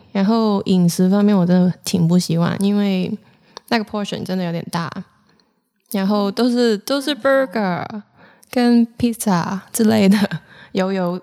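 A woman speaks at a medium pitch in a dark, mellow tone, with ordinary pitch variation. Her pace is fairly slow, broken by long, frequent pauses. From Hong Kong. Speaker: podcast co-host. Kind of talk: casual chat.

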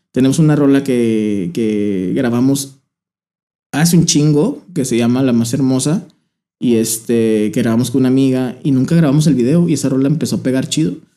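A man speaks at a medium pitch and a moderate pace, his tone dark and mellow. His loudness stays very even, with ordinary pitch variation. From Torreón, Coahuila, northern Mexico. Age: 20s. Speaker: musician. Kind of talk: casual chat.

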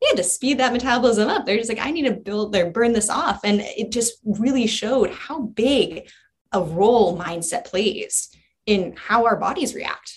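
A somewhat breathy woman's voice, fairly high in pitch with ordinary variation, at a moderate pace. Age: 20s. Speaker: coach, nonprofit staff. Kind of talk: casual interview.

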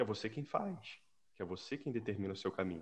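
A man's voice, fairly low in pitch. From Brazil (Rio de Janeiro). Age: 40s. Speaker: civil servant. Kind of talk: casual chat.

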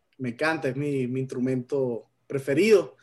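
The speech moves at a very slow pace with ordinary pitch variation against a quiet background. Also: man. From Venezuela. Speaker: radio co-host. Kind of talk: radio interview.

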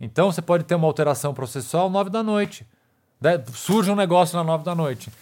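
The speech comes at a very fast pace. Its intonation is lively. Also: man, high pitch for a man. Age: 40s. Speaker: criminal defense lawyer. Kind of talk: interview conversation.

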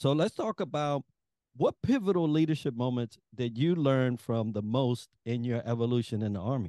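Dry, close sound with no echo, carrying a man's medium-pitched voice, dark and mellow in tone, at a moderate pace. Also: ordinary pitch variation. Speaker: podcast co-host. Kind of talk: interview.

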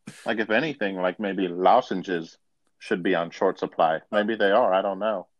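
At a moderate pace and with ordinary pitch variation, a normal speaking voice talks with an American accent. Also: man, fairly low pitch for a man. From Buffalo, New York. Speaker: podcast co-host. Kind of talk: casual comedic chat. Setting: remote phone-in recording via app. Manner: jokey, laughing.

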